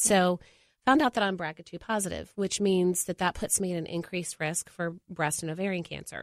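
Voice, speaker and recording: A woman with a plain, everyday voice talks at a moderate pace and fairly low pitch with ordinary pitch variation, in a dry, close sound with no echo and a very clean recording with a silent background. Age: 40s. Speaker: mother. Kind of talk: casual chat. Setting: studio.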